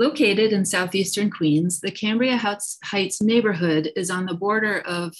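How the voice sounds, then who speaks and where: A woman speaks in a plain, everyday voice with ordinary pitch variation. The background is quiet. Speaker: presenter. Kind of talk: formal presentation. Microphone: video call.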